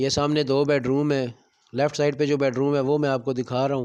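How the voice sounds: Speaking at a fairly quick pace, a man with a medium pitch has a clear, smooth, slightly mellow tone and little pitch movement.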